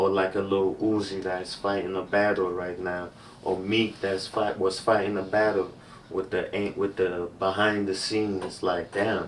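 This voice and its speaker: A man with an African accent speaks at a fairly low pitch. His delivery is fairly slow with monotone, flat intonation. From Cameroon. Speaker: music industry label rep. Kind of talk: casual podcast interview.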